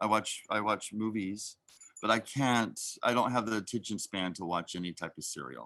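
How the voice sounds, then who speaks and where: A bright, sharp tone in an American accent, with ordinary pitch variation, a moderate pace and a quiet background. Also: man, fairly low pitch for a man. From Oklahoma, US. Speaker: actor. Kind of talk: casual interview chat.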